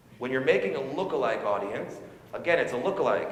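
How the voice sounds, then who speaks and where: Amid noticeable background noise and audible room echo, a man talks at a very fast pace in a medium pitch. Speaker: conference speaker on online advertising. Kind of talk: live talk to audience. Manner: loud.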